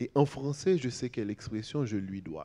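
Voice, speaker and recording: Dark and mellow in tone, a man speaks at a medium pitch with very wide pitch swings. His pace is fairly slow. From Haiti, Port-au-Prince. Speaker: writer. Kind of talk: panel discussion. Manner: halting.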